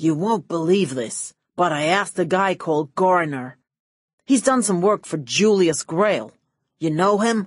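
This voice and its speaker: In a put-on character voice, a woman growls at a medium pitch, with lively intonation and a moderate pace. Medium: read story. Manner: oily, smooth.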